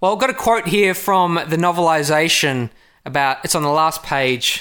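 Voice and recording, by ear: A man talks at a moderate pace in a fairly high pitch, his intonation fairly even and his tone clear, smooth and fairly bright.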